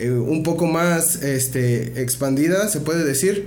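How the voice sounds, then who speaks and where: Someone talks at a fairly slow pace. Noticeable background noise and audible room echo are present. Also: man. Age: 20s. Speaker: rapper and freestyle event organizer. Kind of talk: casual interview. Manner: hesitant with fillers.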